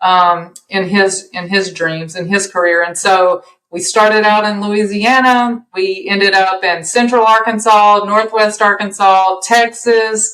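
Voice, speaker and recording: With a Southern US accent, a woman at medium pitch speaks in a bright, sharp tone at a fairly slow pace, with fairly even intonation and hardly any pauses. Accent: Southern US accent, noticeable. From US South. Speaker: podcast guest, empty-nester mom. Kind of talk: casual chat.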